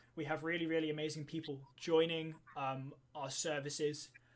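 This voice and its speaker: A man talks fairly quickly with a British accent. His fairly high pitch stays flat and monotone. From Wales. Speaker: co-founder of a scouting online community. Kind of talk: live stream Q&A. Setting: live stream. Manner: hesitant, many fillers.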